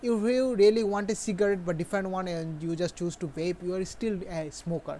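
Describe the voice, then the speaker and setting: Fairly quick speech in a non-native accent. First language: not English. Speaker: gaming streamer. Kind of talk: live game stream commentary. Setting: live stream at home. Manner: halting.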